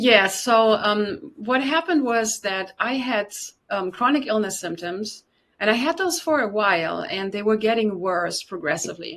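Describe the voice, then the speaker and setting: With lively intonation and a fairly high pitch, a woman talks at a moderate pace. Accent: slight German. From Germany. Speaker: detoxification specialist and yoga teacher. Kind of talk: interview testimony.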